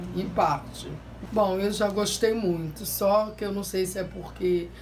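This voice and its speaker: A woman talks at a very slow pace in a monotone, flat intonation. Audible room echo and noticeable background noise accompany her voice. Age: 60s. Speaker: favela resident. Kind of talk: interview.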